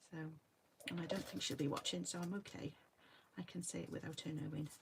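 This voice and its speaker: A woman's very deep, low-pitched voice with vocal fry. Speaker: card crafter demonstrating stamping. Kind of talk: crafting tutorial. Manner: quiet; hesitant, many fillers. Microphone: no external microphone, voice quiet.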